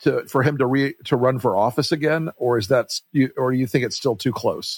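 At a moderate pace, a normal speaking voice comes through with a dry, close sound and no echo. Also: man. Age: 60s. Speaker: podcast host, political strategist. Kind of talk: casual interview.

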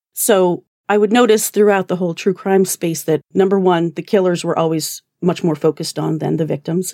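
With an American accent, a woman speaks at a fairly quick pace in a fairly low pitch with ordinary pitch variation. Her tone is dark and mellow, and the sound is dry and close with no echo. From Alberta, Canada. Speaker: podcast host. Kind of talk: casual interview chat. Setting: video call.

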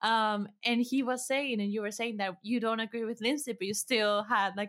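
Speaking at a fairly quick pace, a woman uses a normal speaking voice, a fairly high pitch and fairly even intonation. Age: 20s. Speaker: podcast producer. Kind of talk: casual chat.

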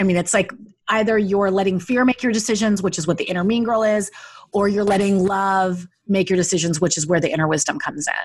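Very clean, with a silent background, this recording features a woman talking at a very fast pace. Her voice is somewhat breathy, with ordinary pitch variation. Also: medium pitch for a woman. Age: 40s. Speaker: life coach and author. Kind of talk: interview conversation.

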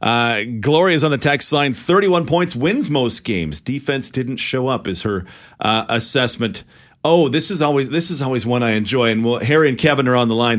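Here is a man with an unremarkable speaking voice and medium pitch. He talks at a fairly quick pace with lively intonation. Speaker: radio host. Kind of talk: radio call-in show with head coach interview. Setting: radio studio.

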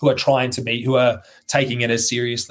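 The voice carries an Australian accent. It runs at a very fast pace. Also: man. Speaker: CrossFit athlete. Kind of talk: casual chat. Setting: video call.

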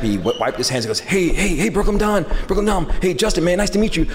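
A man speaks over noticeable background noise. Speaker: skate shop owner. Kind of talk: live podcast interview. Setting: stage with audience.

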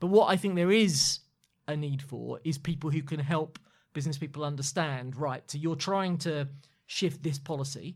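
In a very clean recording with a silent background, a man with a southern English accent speaks at a moderate pace. His fairly high voice is somewhat breathy, with fairly even intonation. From London. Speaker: former political chief of staff. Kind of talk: interview.

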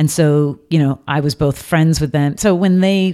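Here is a woman with an American accent. Her tone is dark and mellow. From England, then Florida from age eleven. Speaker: advertising agency CEO. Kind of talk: interview.

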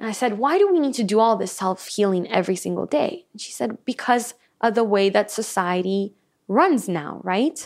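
A woman at medium pitch uses an ordinary speaking voice with lively intonation and big swings in loudness. Her pace is moderate, and the recording is very clean with a silent background. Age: 20s. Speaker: sound healer and hypnotherapist. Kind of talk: casual interview chat. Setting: in person studio recording.

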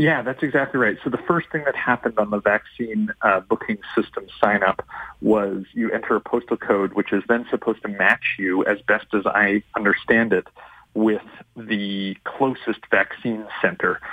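A man speaks at a medium pitch and a moderate pace in a normal speaking voice with ordinary pitch variation. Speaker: research scientist. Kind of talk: radio interview.

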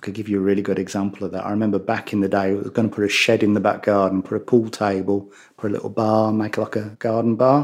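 A man with a Birmingham accent talks at a very fast pace in a monotone, flat intonation. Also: fairly low pitch for a man. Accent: Brummie. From Birmingham, England. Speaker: bereaved father. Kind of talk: interview. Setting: host's home.

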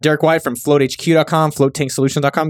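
Recorded very cleanly against a silent background, a man speaks at a very fast pace with a dry, close sound and no echo. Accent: American. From San Jose, California. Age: 30s. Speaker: podcast host, entrepreneur. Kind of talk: casual solo podcast, listener shout-outs. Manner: animated.

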